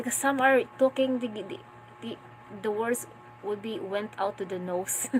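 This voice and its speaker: A woman with a Filipino accent talks at a moderate pace and a fairly high pitch, with ordinary pitch variation. Her speech has long, frequent pauses, and there is noticeable background noise. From Philippines, Mindanao. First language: Filipino regional language. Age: 20s. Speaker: vlogger, stay-at-home mother. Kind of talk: casual live-stream chat. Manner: halting, repeats words.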